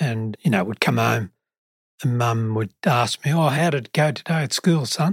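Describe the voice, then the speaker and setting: Here a man speaks at a medium pitch and a moderate pace, with lively intonation. His voice is somewhat breathy, and the sound is dry and close with no echo. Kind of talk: podcast interview.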